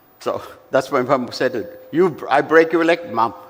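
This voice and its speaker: Noticeable background noise sits behind a man's voice. He speaks at a fairly slow pace with lively intonation. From India, Coimbatore (Tamil Nadu). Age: 70s. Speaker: motorcycle company executive. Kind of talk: speech to an audience. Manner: halting.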